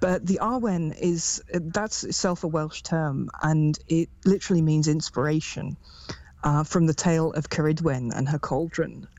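A woman with an English Midlands accent speaks at a fairly slow pace in a very deep, low pitch, with ordinary pitch variation and very even loudness. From England, Derby. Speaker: druid priestess and chaplain. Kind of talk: casual interview.

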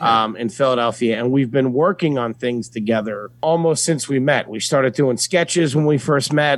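At a moderate pace, a man uses a plain, everyday voice of medium pitch with ordinary pitch variation. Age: 20s. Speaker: stand-up comedian. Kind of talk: casual chat.

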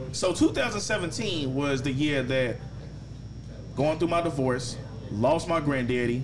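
At a very slow pace with long, frequent pauses, a man speaks at a fairly high pitch with ordinary pitch variation over noticeable background noise. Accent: American. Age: 30s. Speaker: podcast host, barber. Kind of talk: casual chat.

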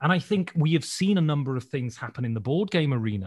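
Against a quiet background, a man with an English accent and a fairly high pitch sounds somewhat breathy, his pitch swinging very widely. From rural England. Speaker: board game YouTuber and podcaster. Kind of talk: casual chat.

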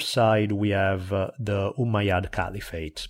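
Recorded very cleanly against a silent background, this man has an Italian accent. His pitch is fairly low. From Italy. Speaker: history podcaster. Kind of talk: casual chat.

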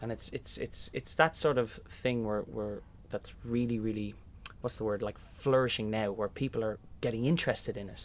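Speaking at a moderate pace with an Irish accent, a man uses a medium pitch and fairly even intonation. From Ireland, County Meath. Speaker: musical theatre actor. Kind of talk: interview. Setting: sound booth above theatre stage.

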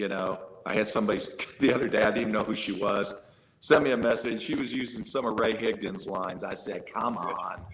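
This man has a normal speaking voice, a medium pitch and fairly even intonation, and he speaks at a fairly quick pace. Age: 60s. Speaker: network marketing leader. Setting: video call; home room with drum set.

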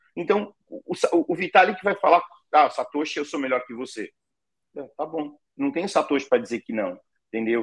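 Sounding dry and close with no echo, a high-voiced man swings widely in both pitch and loudness and pauses long and often. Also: moderate pace. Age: 50s. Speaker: crypto payments company CEO. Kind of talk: interview. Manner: animated.

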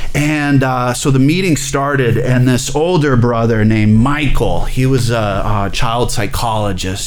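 Noticeable background noise and audible room echo surround a man with an American accent speaking at a moderate pace and a medium pitch. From Alabama, US South. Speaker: addiction therapist. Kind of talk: testimony.

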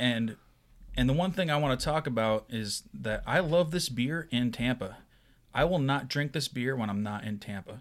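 A man with a plain, everyday voice talks at a moderate pace and medium pitch, his intonation lively. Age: young. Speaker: podcast co-host. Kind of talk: casual chat.

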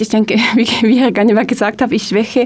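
A woman with a French accent talks at a fairly quick pace over noticeable background noise. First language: French (speaking German). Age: 20s. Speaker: politician. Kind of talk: radio interview. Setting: studio. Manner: halting.

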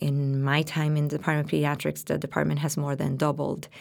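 Heard in a very clean recording with a silent background, a woman talks at a fairly quick pace in a very deep, low pitch, with vocal fry. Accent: Spanish. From Puerto Rico. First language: Spanish. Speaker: pediatrician and diversity officer, associate professor. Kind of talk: interview discussion.

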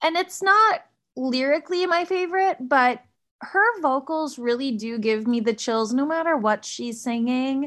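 A woman's high voice at a fairly slow pace with lively intonation, against a quiet background. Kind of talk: casual chat.

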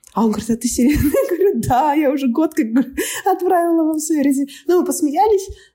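At a very fast pace, a woman speaks in a high pitch. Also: lively intonation, very even loudness. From Kazakhstan, Almaty. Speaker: scrum master. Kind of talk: casual chat.

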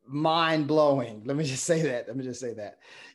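With an ordinary speaking voice, a man talks fairly high in pitch, his intonation fairly even, and the background is quiet. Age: 50s. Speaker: middle school principal. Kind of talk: interview.

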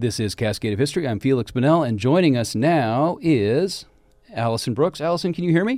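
A man with an American accent talks at a fairly quick pace in a plain, everyday voice, pitched fairly high with lively intonation. The recording is very clean, with a silent background. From Washington State, Seattle area. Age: 50s. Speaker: community radio history host. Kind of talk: live radio interview. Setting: radio studio.

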